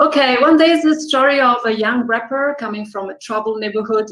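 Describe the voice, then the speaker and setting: In an Italian accent, a woman talks at a moderate pace. Her pitch varies in an ordinary way. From Italy. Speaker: film director. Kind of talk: interview.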